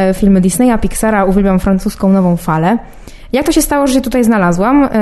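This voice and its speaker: Over noticeable background noise, a woman talks very fast at a fairly high pitch with lively intonation. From Poland. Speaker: film student, youth jury member. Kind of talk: personal statement to camera. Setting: film festival.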